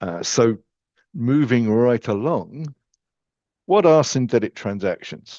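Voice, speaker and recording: Very slow with long, frequent pauses, the speaker talks with an English accent, lively intonation and a dark, mellow tone, in a dry, close sound with no echo over a quiet background. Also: man, medium pitch for a man. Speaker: software company technical expert. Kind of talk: webinar presentation.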